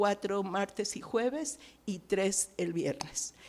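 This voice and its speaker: Her voice sits at a medium pitch, and the woman's intonation is lively. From Mexico. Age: 60s. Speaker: missionary. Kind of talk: testimony.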